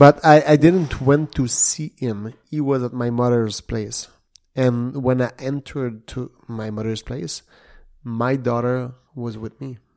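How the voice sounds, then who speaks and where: On a very clean recording with a silent background, a man with a Quebec accent speaks at a fairly slow pace and medium pitch, his intonation fairly even but his loudness swinging widely. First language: French. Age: 40s. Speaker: retired MMA fighter, martial arts instructor. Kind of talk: casual interview. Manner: halting.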